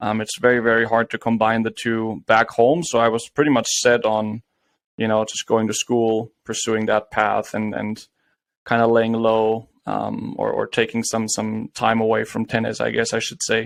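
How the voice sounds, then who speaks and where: A man's medium-pitched voice with a slight German accent, monotone, flat intonation, a moderate pace, and a dry, close sound with no echo. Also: quiet background. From Germany (Bayreuth, Bavaria). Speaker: former college tennis player and entrepreneur. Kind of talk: podcast interview.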